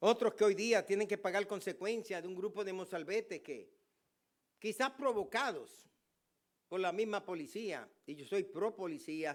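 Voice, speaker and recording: Delivered at a fairly slow pace, the speech has ordinary pitch variation and big swings in loudness. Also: man, high pitch for a man. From Puerto Rico. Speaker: pastor. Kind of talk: sermon.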